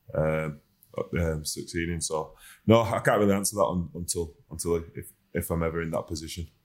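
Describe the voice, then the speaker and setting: A man with a West Yorkshire accent speaks at a fairly quick pace in a very deep, low voice, his intonation flat and monotone, on a very clean recording with a silent background. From Huddersfield, West Yorkshire, northern England. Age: 30s. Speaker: professional rugby league player. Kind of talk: casual chat.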